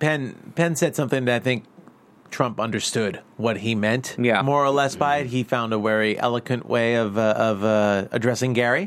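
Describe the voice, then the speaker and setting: This man has an ordinary speaking voice. His pace is moderate and his pitch variation ordinary. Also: medium pitch for a man, very even loudness. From New York. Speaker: podcast co-host. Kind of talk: casual chat. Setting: studio.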